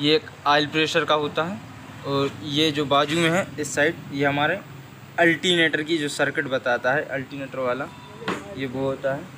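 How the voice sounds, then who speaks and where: A man speaks with fairly even intonation. There is noticeable background noise. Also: moderate pace. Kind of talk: tutorial. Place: workshop. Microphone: phone near.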